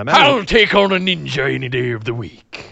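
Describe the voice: Someone uses a put-on character voice. The pace is moderate. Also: man.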